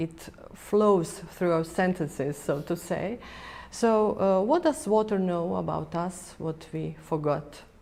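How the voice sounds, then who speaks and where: Her intonation lively and her pitch medium, a woman with a Croatian accent speaks at a fairly slow pace. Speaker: TV interviewer. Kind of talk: interview.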